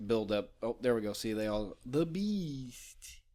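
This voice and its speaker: An ordinary speaking voice from a man, with lively intonation at a fairly slow pace, in a very clean recording with a silent background. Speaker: podcast host. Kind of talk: casual podcast banter while drinking.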